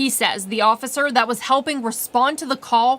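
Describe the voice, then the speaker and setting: With an American accent, a woman speaks in an unremarkable speaking voice at a fairly high pitch. Her pace is moderate, with ordinary pitch variation. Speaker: TV news anchor and reporter. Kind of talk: TV news anchor and reporter delivery.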